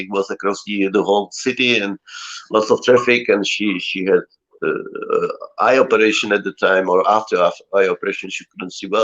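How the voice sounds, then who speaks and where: A man speaks in a Czech accent. His pace is moderate. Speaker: cellist. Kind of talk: casual chat.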